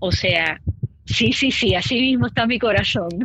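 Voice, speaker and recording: A woman at a fairly slow pace with ordinary pitch variation. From Puerto Rico. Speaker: podcast host. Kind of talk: casual chat.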